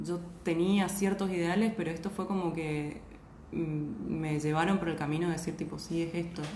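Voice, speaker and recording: Amid noticeable background noise and audible room echo, a woman with a fairly low pitch talks at a moderate pace with fairly even intonation. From Argentina, Posadas (Misiones). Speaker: journalist. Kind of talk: casual chat.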